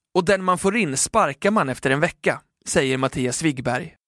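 A man with an ordinary speaking voice, fairly high in pitch with ordinary pitch variation, at a moderate pace, dry and close with no echo, on a very clean recording with a silent background. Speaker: newspaper podcast host reading a feature article. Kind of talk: scripted narration.

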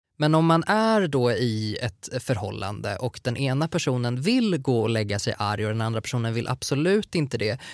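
On a very clean recording with a silent background, a man with an ordinary speaking voice talks at medium pitch and a moderate pace, with lively intonation and hardly any pauses. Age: 30s. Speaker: podcast host. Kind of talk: casual chat.

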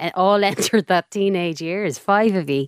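The recording is very clean, with a silent background and a dry, close sound with no echo. A woman speaks at a medium pitch. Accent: Irish. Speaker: podcast host. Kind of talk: interview.

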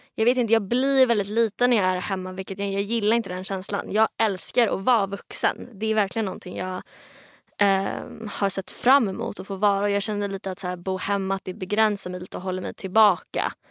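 A woman's medium-pitched voice, an unremarkable speaking voice, at a fairly quick pace with fairly even intonation, in a very clean, dry, close recording with no echo and a silent background. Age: 20s. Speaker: singer-songwriter. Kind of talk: casual chat. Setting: studio.

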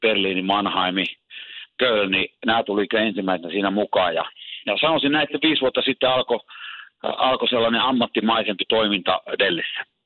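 Delivered at a moderate pace, the voice holds a very even loudness with ordinary pitch variation. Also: man, medium pitch for a man. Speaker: ice hockey coach. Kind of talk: interview. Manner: halting, many filler sounds.

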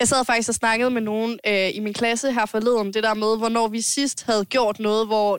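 Dry and close with no echo, a woman's fairly high voice holds very even loudness and hardly any pauses. Her intonation is monotone and flat. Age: 20s. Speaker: podcast host. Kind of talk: casual chat. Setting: home-made studio.

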